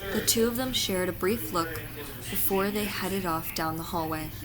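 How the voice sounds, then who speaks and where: With music playing behind her, a woman talks at a medium pitch that shifts in an ordinary way. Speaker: fanfiction reader. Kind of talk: fanfiction reading.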